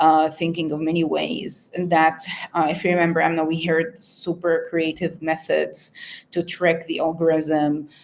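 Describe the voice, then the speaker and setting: In an Arabic accent, a woman speaks at a moderate pace. Her pitch is fairly low, and her intonation is monotone and flat. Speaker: researcher. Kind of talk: interview. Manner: halting, many fillers.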